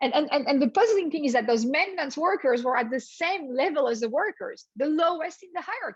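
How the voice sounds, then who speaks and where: A woman speaks at a high pitch in a French accent. Her pitch swings very widely, and her pace is fairly quick. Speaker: business professor. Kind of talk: lecture.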